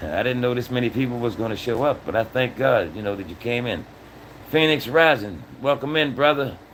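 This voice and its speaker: Noticeable background noise underlies a man's medium-pitched voice, which moves fairly quickly with ordinary pitch variation. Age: 60s. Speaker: livestream host. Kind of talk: casual livestream talk. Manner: animated.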